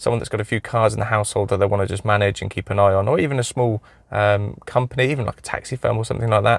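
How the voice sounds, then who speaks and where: A man with an English accent speaks at a medium pitch. The sound is dry and close with no echo, a very clean recording over a silent background. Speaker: car mechanic YouTuber. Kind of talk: product review. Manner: casual, hesitant with many fillers.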